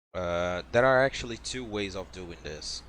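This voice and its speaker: A man with a non-native accent speaks in a very deep, low voice with lively intonation. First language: not English. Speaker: video game speedrunner. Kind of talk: tutorial. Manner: casual, with fillers.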